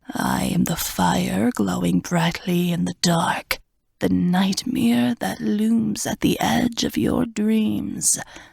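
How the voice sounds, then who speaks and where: Someone whispers in a put-on character voice with a hissing edge. The pace is very slow. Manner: hissing, whispering; menacing.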